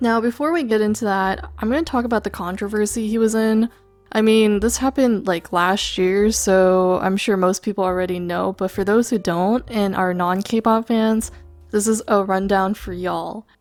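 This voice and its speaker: Here is an ordinary speaking voice from a woman with an American accent. Her medium pitch stays fairly even at a moderate pace. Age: 20s. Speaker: YouTuber / VTuber commentator. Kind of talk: commentary monologue. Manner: casual, conversational.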